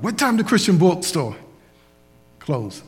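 Somewhat breathy, a man's voice swings very widely in pitch. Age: 60s. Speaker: preacher. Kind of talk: sermon. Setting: church.

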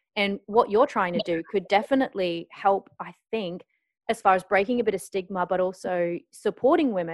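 In an Australian accent, a woman talks at a fairly quick pace and medium pitch, with ordinary pitch variation, big swings in loudness, and a dry, close sound with no echo. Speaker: podcast host, journalist and sex educator. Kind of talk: casual interview chat.

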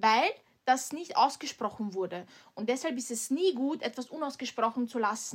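A woman with an Austrian accent speaks at a moderate pace in a high pitch, her intonation lively, on a very clean recording with a silent background. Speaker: podcast co-host. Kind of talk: casual chat.

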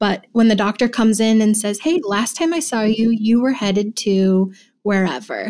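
A woman speaks in a plain, everyday voice, fairly high in pitch with ordinary variation. The recording is very clean, with a silent background. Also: moderate pace. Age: young. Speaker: care manager. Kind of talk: interview answers.

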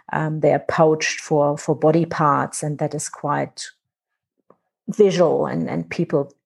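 A woman with a German accent at a fairly slow pace. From Germany. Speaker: conservation director. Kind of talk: interview. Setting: remote call.

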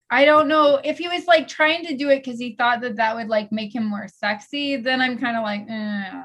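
Here a woman speaks at a moderate pace with lively intonation. It is an ordinary speaking voice. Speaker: podcast host. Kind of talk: casual chat. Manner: playful, bantering.

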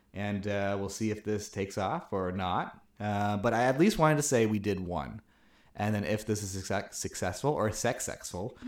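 A man with an American accent has a plain, everyday voice, fairly low in pitch with ordinary pitch variation, at a moderate pace. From Chicago, US Midwest. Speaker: podcast co-host. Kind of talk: casual chat.

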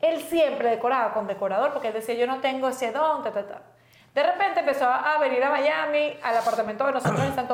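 Against noticeable background noise, a woman speaks at a fairly quick pace with a high pitch and ordinary pitch variation. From Venezuela, raised in Valencia. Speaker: podcast co-host. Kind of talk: casual chat.

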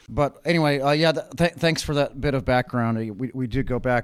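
Speaking at a fairly quick pace with a Californian accent, a man uses ordinary pitch variation. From Richmond, California. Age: 40s. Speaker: architect and city council candidate. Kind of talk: casual chat. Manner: halting.

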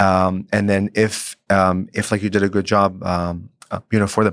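A moderate pace in an Arabic accent, very even loudness, on a very clean recording with a silent background. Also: man. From Lebanon. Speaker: real estate agent. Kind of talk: interview. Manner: energetic.

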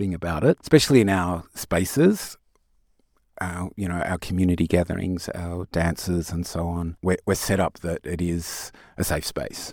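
With an Australian accent, a man speaks in a very deep, low voice on a very clean recording with a silent background. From Tasmania, Australia. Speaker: music producer and activist. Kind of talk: interview.

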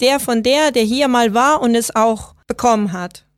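A woman's high-pitched voice with ordinary pitch variation, in a very clean recording with a silent background. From Venezuela. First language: Spanish (speaking German). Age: 30s. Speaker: software designer. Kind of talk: interview.

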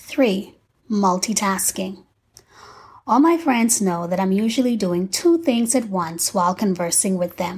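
Lively in intonation and somewhat breathy, a woman talks at a fairly slow pace. The recording is very clean, with a silent background. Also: medium pitch for a woman. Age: 40s. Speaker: faith-based podcaster. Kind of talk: scripted monologue.

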